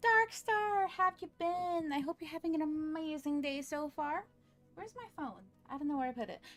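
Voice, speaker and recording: A woman talks at a moderate pace with lively intonation. Her pitch is extremely high. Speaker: vtuber streamer. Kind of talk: casual live stream chat. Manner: animated.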